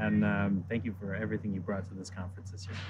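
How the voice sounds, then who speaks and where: Speaking very fast, a man has a somewhat breathy quality to his voice. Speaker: chef at culinary institute. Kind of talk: casual interview chat.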